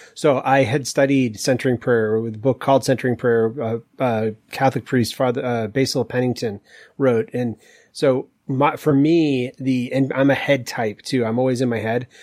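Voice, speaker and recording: A man with an unremarkable speaking voice and an American accent, medium in pitch, fairly even in intonation, at a moderate pace. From US Northeast, Maine. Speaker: executive coach and author. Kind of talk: casual interview.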